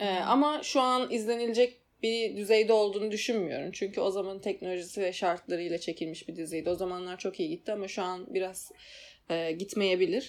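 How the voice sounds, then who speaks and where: A woman speaks in a normal speaking voice at medium pitch and a fairly quick pace, with ordinary pitch variation. The recording is very clean, with a silent background. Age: 20s. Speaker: podcast co-host. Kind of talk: casual chat.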